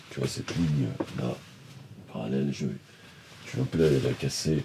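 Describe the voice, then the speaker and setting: A man speaks softly at a very deep, low pitch. His intonation is fairly even. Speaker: painter. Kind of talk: casual talk to camera about painting. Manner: soft-spoken; halting, many hesitations.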